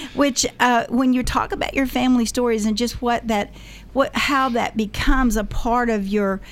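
In a Tennessee accent, a woman speaks high-pitched at a moderate pace with fairly even intonation. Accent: Middle Tennessee Southern. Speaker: local historian. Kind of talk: radio interview. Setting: radio studio.

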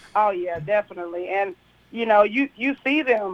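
In an American accent, a woman talks at a moderate pace. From Kentucky. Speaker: girls' high school basketball coach. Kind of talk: radio interview.

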